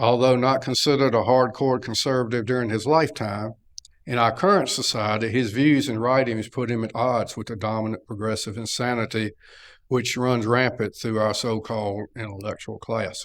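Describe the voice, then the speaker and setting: A man speaks at a medium pitch and moderate pace with a North Carolina accent. His intonation is fairly even, on a very clean recording with a silent background. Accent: Southern US, North Carolina. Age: 70s. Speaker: lecturer. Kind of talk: lecture.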